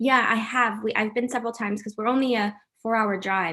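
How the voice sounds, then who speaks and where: With an ordinary speaking voice, a woman talks at a fairly quick pace in fairly even intonation. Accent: American. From US, raised mostly in America. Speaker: actress. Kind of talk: interview.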